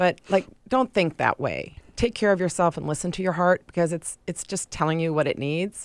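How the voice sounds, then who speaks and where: In a very clean recording with a silent background and a dry, close sound with no echo, a woman with an unremarkable speaking voice talks at a moderate pace with hardly any pauses, her pitch fairly low and its variation ordinary. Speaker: heart attack survivor. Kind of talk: interview.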